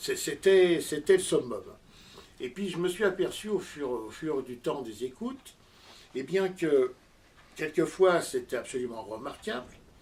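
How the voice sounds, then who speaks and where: With lively intonation and a fairly high pitch, a man talks at a fairly slow pace, leaving long, frequent pauses. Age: 60s. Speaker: amateur audio enthusiast and inventor. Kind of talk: interview. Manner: halting, many hesitations.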